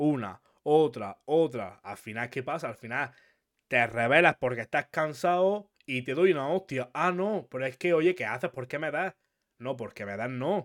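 Lively intonation from a man at a fairly high pitch and fairly slow pace, a plain, everyday voice with a dry, close sound and no echo. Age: 20s. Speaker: podcast host. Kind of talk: casual interview.

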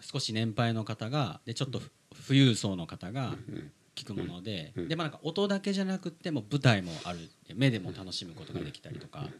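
This man talks at a moderate pace in a medium pitch, with very wide pitch swings and big swings in loudness. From Philippines (Manila), Japanese-Filipino. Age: 30s. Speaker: podcast host. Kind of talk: interview.

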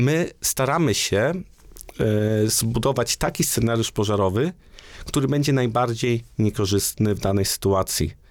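Speaking in a normal speaking voice, a man of medium pitch goes at a fairly slow pace with lively intonation and very even loudness. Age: 30s. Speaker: engineer and university researcher. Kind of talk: interview. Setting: studio.

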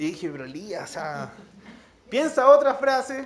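Audible room echo colors this recording. The man speaks fairly slowly. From Chile, La Serena. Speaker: preacher. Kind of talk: sermon. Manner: halting, with repetitions.

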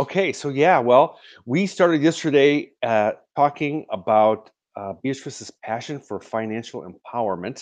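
A man with a normal speaking voice talks at a moderate pace, his fairly high pitch moving in a lively intonation. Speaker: host of online show. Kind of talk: casual interview. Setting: video call.

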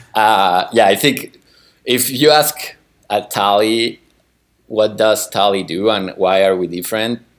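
A man with a Spanish accent speaks at a fairly slow pace. His voice is fairly low, with ordinary pitch variation. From Chile. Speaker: growth marketing manager. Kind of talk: interview. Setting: video call. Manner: halting, repeats words.

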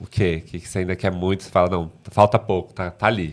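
On a very clean recording with a silent background, a man speaks at a very deep, low pitch with fairly even intonation. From outside São Paulo, Brazil. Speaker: podcast guest. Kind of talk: casual chat.

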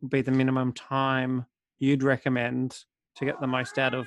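A man with an Australian accent speaks at a medium pitch and a moderate pace in a dry, close sound with no echo. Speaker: podcast co-host. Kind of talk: casual podcast chat.

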